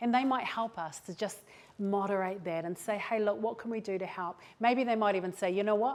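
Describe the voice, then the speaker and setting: Speaking fairly quickly with a New Zealand accent, a woman sounds animated at a medium pitch. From New Zealand, West Auckland. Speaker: mental health speaker. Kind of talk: motivational talk. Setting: stage with audience. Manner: fast.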